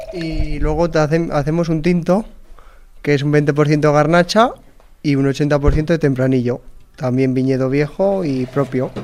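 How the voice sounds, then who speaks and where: Here a man has an ordinary speaking voice, pitched fairly high. He speaks at a fairly slow pace with fairly even intonation. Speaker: farmer. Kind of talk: casual chat.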